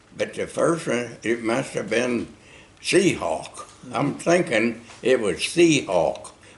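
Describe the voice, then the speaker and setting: A man with an American accent, medium in pitch, at a very slow pace with very wide pitch swings, amid noticeable background noise. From Oklahoma, USA. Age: 80s+. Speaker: war veteran. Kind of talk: interview answer.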